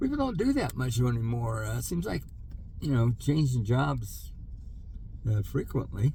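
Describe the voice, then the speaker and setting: Audible room echo surrounds a man who talks at a moderate pace with long, frequent pauses. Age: 70s. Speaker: vlogger, older worker reflecting on career. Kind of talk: casual monologue vlog. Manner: hesitant, many fillers.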